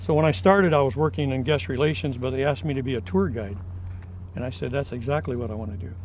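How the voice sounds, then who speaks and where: With an American accent, a man at medium pitch talks at a very fast pace with lively intonation. His voice is somewhat breathy, and audible room echo surrounds it. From US Midwest, northwest Ohio. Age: 70s. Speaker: film historian. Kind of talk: interview. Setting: on location at a ranch. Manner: hesitant fillers.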